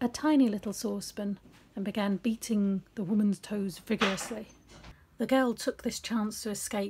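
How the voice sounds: Fairly even intonation in a natural reading voice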